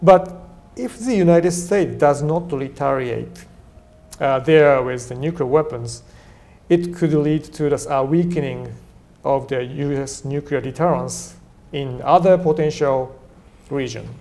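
Over noticeable background noise, a fairly high-pitched man with a Japanese accent speaks at a fairly slow pace, with ordinary pitch variation and long, frequent pauses. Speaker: defense policy fellow. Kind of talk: panel discussion.

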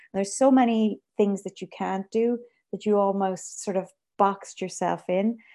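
Speaking in a western Irish accent, a woman uses a dark, mellow tone at medium pitch, keeping a moderate pace and fairly even intonation. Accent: Irish (west of Ireland). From Ireland, Galway countryside. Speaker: composer and conductor. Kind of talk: interview conversation. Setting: video call.

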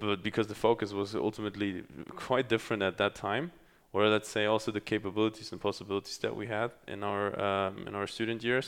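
Monotone, flat speech comes at a very fast pace over a quiet background. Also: man, fairly low pitch for a man. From Germany, Kazakh roots. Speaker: podcast host. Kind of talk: casual conversation. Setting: recording in Dubai. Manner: halting, many fillers.

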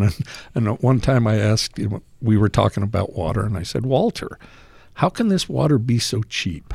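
Speaking with an American accent, a man has a dark, mellow tone. His intonation is lively and his pace moderate. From Salt Lake City, Utah. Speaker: deli owner. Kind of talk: casual chat.

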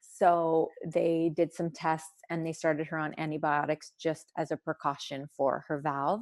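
A woman's very deep, low voice in monotone, flat intonation at a fairly slow pace, dry and close with no echo, on a very clean recording with a silent background. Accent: Canadian. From Sudbury, Ontario, Canada (French-Canadian family). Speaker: hockey wife and mother. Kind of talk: interview.

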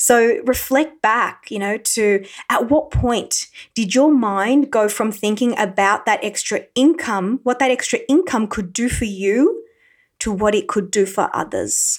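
A woman with an unremarkable speaking voice and a fairly high pitch in a very clean recording with a silent background. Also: ordinary pitch variation, fairly slow pace. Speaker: podcast host. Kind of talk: solo motivational talk with a guided visualization segment. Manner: slow, calm, coaxing pace in the visualization, with pauses and repeated phrases; warm, encouraging, conversational.

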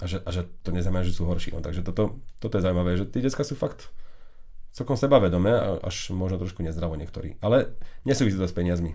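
A man speaks very fast in a very deep, low voice, somewhat breathy and dark and mellow in tone, with lively intonation. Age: 30s. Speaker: tech podcast host. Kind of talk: casual chat. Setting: studio. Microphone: new microphone setup.

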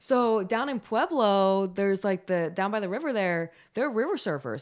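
On a very clean recording with a silent background, a woman at medium pitch speaks at a moderate pace with very wide pitch swings. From Philadelphia, US. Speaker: sports reporter. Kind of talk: interview, casual chat.

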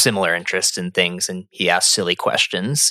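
With an American accent and an unremarkable speaking voice, a man talks at a fairly quick pace with ordinary pitch variation in a dry, close sound with no echo. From Phoenix, Arizona. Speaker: therapist and podcast co-host. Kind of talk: casual chat.

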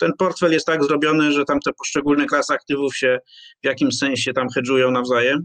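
In a dry, close sound with no echo, a man with a fairly high pitch speaks very fast in a monotone, flat intonation at very even loudness. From Poland, Poznań. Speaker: finance blogger and former journalist. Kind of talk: interview. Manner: halting, with repetitions.

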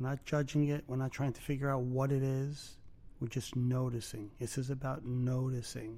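A man of medium pitch with a Brooklyn accent, dark and mellow in tone, with monotone, flat intonation. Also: moderate pace. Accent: New York (Brooklyn). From Brooklyn, New York. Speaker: podcast host, mindfulness teacher. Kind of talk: guided meditation; casual chat. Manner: halting.

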